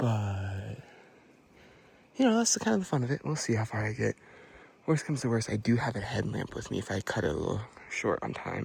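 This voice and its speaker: A man is speaking. He talks at a fairly quick pace. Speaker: vlogger. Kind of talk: casual hiking vlog. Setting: outdoors on a hiking trail. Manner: casual, filler-heavy.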